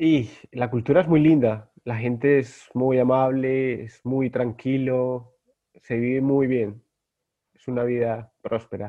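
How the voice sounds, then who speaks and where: A man speaks at a very slow pace in a medium voice, his intonation fairly even while his loudness swings widely. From Colombia, Bogotá. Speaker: guest, Star Wars collector. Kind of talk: casual chat.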